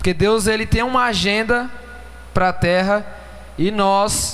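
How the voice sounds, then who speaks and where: With noticeable background noise and audible room echo, a man speaks very slowly at a high pitch with ordinary pitch variation. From Brazil, São Paulo. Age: 20s. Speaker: pastor. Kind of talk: sermon.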